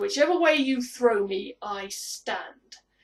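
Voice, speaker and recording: Growling in a put-on character voice, a woman talks fairly slowly at a high pitch. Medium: solo performance. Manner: haughty, challenging.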